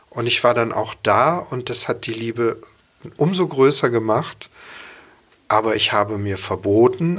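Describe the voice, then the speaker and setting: Lively intonation in an unremarkable speaking voice. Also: man. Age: 50s. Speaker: chef and cookbook author. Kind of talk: casual interview. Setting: studio.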